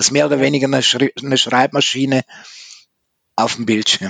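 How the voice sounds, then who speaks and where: The man's voice sits at a medium pitch with fairly even intonation. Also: dry, close sound with no echo. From Switzerland. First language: Swiss German (speaking German). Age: 50s. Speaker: author. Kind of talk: interview. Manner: careful enunciation.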